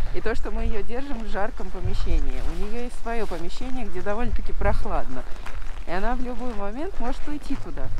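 A woman with a fairly high pitch talks at a fairly quick pace with lively intonation and very even loudness. The sound is dry with no echo, though there is noticeable background noise. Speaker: vlogger. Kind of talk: casual chat. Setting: outdoors. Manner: quiet. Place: street. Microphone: muffled by fur windscreen; phone near.

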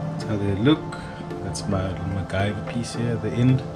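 Loud music plays in the background. Over it, a man speaks at a fairly slow pace. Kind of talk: tutorial. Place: kitchen. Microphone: phone near.

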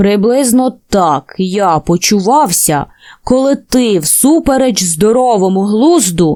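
Simply plain reading aloud

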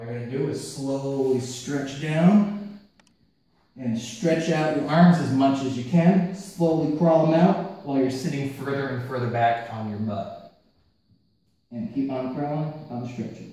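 Strong room echo surrounds a man speaking at a fairly slow pace, with ordinary pitch variation and big swings in loudness. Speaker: fitness trainer. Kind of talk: workout instruction. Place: gym.

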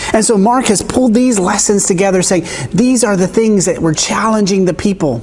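Pitched high, the man's voice shows ordinary pitch variation. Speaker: pastor. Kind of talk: sermon. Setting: church. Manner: enthusiastic. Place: church.

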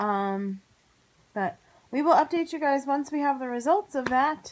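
The speaker, a woman, keeps to a moderate pace. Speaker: vlogger. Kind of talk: casual vlog chat. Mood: relaxed, amused. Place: home room. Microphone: phone near.

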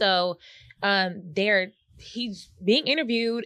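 An animated woman's voice, dry with no echo, over a quiet background. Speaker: podcast co-host. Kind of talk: casual chat. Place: studio. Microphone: studio mic.

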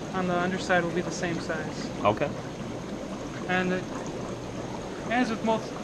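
A man is speaking. Loud background noise runs beneath his voice. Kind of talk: tour explanation. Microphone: phone near.

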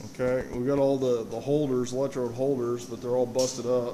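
Against noticeable background noise, a man talks at a moderate pace in a monotone, flat intonation. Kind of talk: casual walk-through tour. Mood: modest, apologetic. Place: workshop. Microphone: phone near.

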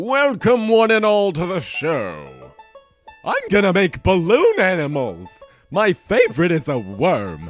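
Faint music plays behind a man doing a put-on character voice. He speaks fairly slowly at a high pitch.

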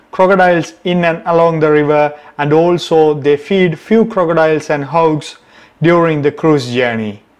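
A man's fairly even intonation and moderate pace sit over a quiet background. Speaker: travel vlogger. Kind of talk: casual vlog intro. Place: open country. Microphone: camera far.

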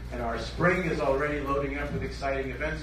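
Audible room echo and noticeable background noise accompany a man's speech. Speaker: event host. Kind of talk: stage announcement. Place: hall.

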